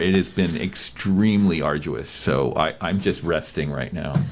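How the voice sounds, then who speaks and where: Over music in the background, a man with a very deep, low pitch speaks with ordinary pitch variation. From Hawaii (Hilo, Big Island). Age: 60s. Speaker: playwright and actor. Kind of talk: interview conversation. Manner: halting, many fillers.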